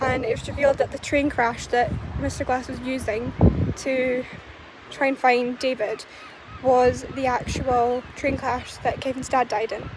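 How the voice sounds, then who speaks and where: A woman's high, monotone voice with flat intonation at a fairly slow pace, amid noticeable background noise. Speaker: movie reviewer. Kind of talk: casual talk to camera. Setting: outdoors. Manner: quiet, soft-spoken.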